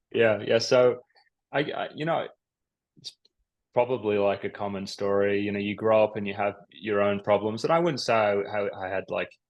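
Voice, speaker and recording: A man with an Australian accent, fairly low in pitch, at a moderate pace with ordinary pitch variation and a quiet background. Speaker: psychiatrist. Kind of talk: interview.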